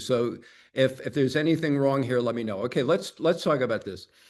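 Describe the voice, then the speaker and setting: A man's medium-pitched voice with ordinary pitch variation, against a quiet background. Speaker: advertising agency consultant. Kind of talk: webinar presentation. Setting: video call. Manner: fast.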